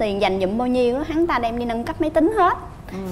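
Lively in intonation and high in pitch, a woman speaks over light background noise. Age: 20s. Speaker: reality show contestant, homemaker; talk show guest. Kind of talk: TV talk show interview. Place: studio. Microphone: lapel.

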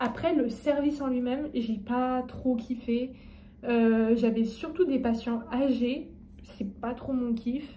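A woman speaks at a very slow pace in a high, dark, mellow voice with fairly even intonation. Light background noise can be heard. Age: 20s. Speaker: medical student vlogger. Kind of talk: casual vlog. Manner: hesitant, many fillers. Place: home room. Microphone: phone near.

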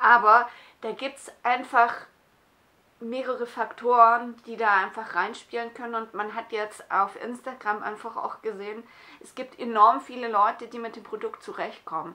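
A woman speaks at a fairly high pitch in a bright, sharp tone. Her intonation stays fairly even while her loudness swings widely. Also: moderate pace. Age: 40s. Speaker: skincare YouTuber. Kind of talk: product review vlog. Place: home room. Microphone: phone near.

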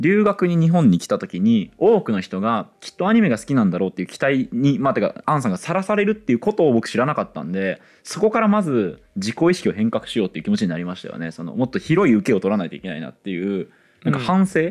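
A man with a fairly high voice speaks at a very fast pace, his pitch swinging very widely. His loudness rises and falls sharply against a quiet background. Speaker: podcast co-host. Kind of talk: live audience recording, casual chat. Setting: public recording with small audience. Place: studio. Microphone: headset.

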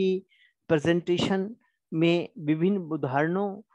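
A high-pitched man, with a dry, close sound and no echo. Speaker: college lecturer. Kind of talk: lecture.

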